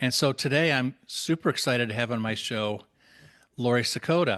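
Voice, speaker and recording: Quiet background behind a man speaking. He talks at a medium pitch with an American accent. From Minnesota. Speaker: podcast host. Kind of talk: interview podcast.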